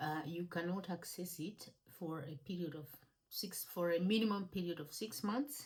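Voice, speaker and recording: Somewhat breathy and fairly low, a woman's voice moves with ordinary pitch variation. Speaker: personal finance educator. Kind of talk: tutorial. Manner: halting, many fillers.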